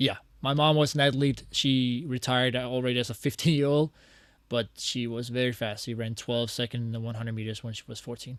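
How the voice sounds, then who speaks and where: Here a man with a Danish accent speaks at a fairly quick pace and medium pitch. His intonation is fairly even, and the background is quiet. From Denmark, Copenhagen. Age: 30s. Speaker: athlete. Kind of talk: interview. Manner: hesitant, many fillers.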